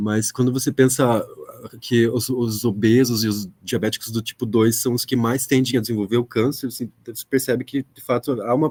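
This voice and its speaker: Here a man with a medium pitch talks at a moderate pace. His intonation stays monotone and flat. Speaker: audience member asking a question. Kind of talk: academic Q&A question. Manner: soft-spoken; halting. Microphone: speaking without microphone, echo issues.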